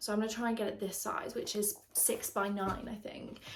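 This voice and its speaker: A woman with a British accent, plus audible room echo. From England. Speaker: lifestyle vlogger. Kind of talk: casual chat. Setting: at home. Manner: chatty, filler-heavy.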